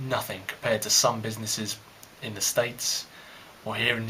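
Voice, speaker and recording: A man speaks at a moderate pace with a fairly low voice. Noticeable background noise runs underneath. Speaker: vlogger, history master's student. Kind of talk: casual monologue. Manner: rambling with hesitations.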